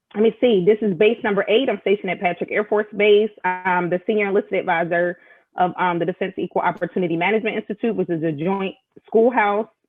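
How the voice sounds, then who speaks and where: Music plays in the background as a woman with an American accent talks at a very fast pace. Her pitch is medium and her intonation fairly even. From Philadelphia, Pennsylvania. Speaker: military senior enlisted leader. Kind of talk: casual interview chat. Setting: live video stream.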